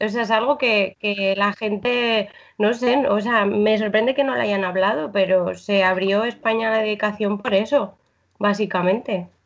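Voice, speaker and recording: Pitch varies in an ordinary way as the speech unfolds at a fairly slow pace. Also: woman. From Santander, Cantabria, northern Spain. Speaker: former missionary. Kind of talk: casual chat.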